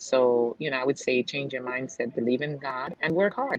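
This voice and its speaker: With a slight Jamaican accent, a woman talks at a moderate pace in a very deep, low pitch with ordinary pitch variation, over noticeable background noise. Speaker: real estate agent and investor. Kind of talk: casual interview chat. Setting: video call from a nail salon.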